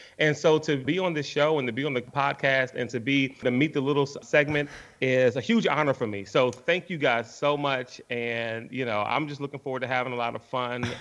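An unremarkable speaking voice from a man, medium in pitch with ordinary pitch variation, at a fairly quick pace with hardly any pauses. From Washington, D.C. (Northeast). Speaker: sports radio broadcaster. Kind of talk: casual interview.

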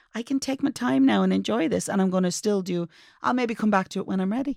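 Speaking at a very fast pace with an Irish accent, a woman at a medium pitch comes through in a very clean recording with a silent background. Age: 50s. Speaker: advice podcast co-host. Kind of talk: casual chat. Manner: calm, measured.

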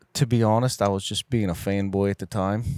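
At a moderate pace, a man speaks with a fairly low pitch in a dry, close sound with no echo. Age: 40s. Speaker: custom arrow builder. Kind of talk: casual chat. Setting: trade show floor.

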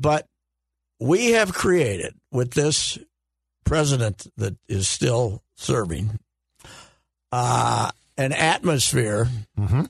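Against a quiet background, a man with a medium pitch speaks at a very slow pace in a somewhat breathy voice, using lively intonation and long, frequent pauses. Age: 70s. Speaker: sports commentator. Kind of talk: casual chat.

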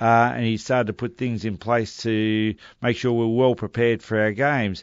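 A man with an Australian accent talks at a medium pitch. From Melbourne, Australia. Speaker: former Australian football player. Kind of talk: interview.

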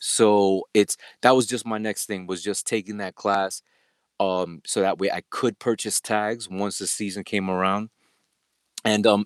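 A normal speaking voice with an American accent moves at a moderate pace. The recording is very clean, with a silent background. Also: man, dry, close sound with no echo. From New York City, Queens. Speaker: delivery driver and aspiring bow hunter. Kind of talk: podcast interview.

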